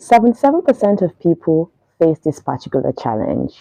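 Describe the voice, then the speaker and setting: A woman's very deep, low voice has a dark, mellow tone and very wide pitch swings. The sound is dry and close, with no echo. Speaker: radio presenter and voiceover artist. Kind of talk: casual talk to camera. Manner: upbeat, chatty.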